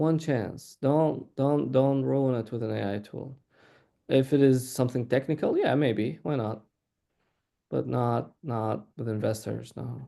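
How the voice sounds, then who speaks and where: Against a quiet background, a man at medium pitch speaks with a dark, mellow tone. His pace is fairly slow. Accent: non-native. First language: not English. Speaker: startup CEO. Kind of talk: panel discussion.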